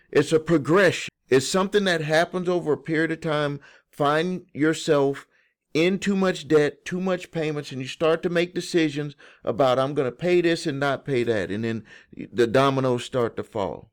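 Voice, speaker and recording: With a Southern US accent, a man speaks at a fairly high pitch and moderate pace with ordinary pitch variation, in a very clean recording with a silent background. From US South. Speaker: credit repair educator. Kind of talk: video explainer to viewers. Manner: casual, conversational with false starts.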